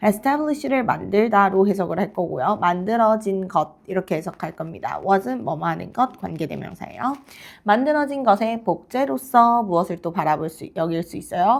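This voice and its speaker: Over a very clean recording with a silent background, a woman at medium pitch talks at a moderate pace with hardly any pauses and very wide pitch swings. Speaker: English teacher. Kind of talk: lecture. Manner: halting.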